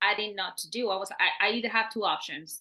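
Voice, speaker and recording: Speaking with a Puerto Rican accent, a woman uses a medium pitch and a bright, sharp tone. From Puerto Rico (San Juan). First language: Spanish. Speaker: engineer and government program leader. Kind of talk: interview. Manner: halting.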